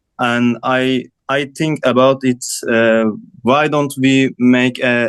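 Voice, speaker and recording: A man speaks with a non-native accent. His delivery is monotone, flat and very slow. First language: not English. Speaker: design student. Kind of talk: student project presentation. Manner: halting.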